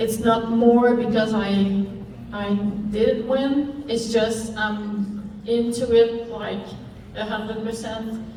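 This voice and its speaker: A woman speaks in a French-Canadian accent with monotone, flat intonation. She goes at a very slow pace, and there is audible room echo. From Quebec, Canada. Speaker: sled dog racer. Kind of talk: interview.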